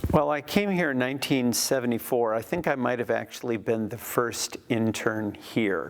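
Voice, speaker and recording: A man with a plain, everyday voice talks at a moderate pace with hardly any pauses, medium pitch, and lively intonation. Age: 60s. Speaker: former church intern, ministry leader. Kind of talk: interview testimony.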